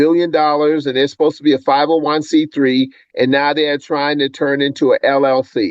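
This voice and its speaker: A man has an ordinary speaking voice with a fairly high pitch. He talks at a moderate pace. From US South. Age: 60s. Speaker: podcast co-host. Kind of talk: casual chat.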